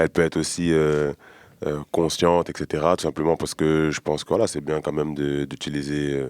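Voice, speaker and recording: A man talks at a fairly quick pace in a very deep, low pitch with monotone, flat intonation. The sound is dry and close, with no echo. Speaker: rapper. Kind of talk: interview. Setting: studio. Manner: halting, many fillers.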